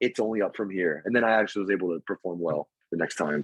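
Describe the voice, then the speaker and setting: Here a man talks at a very fast pace. His tone is animated. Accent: American. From Texas. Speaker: actor. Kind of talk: casual chat.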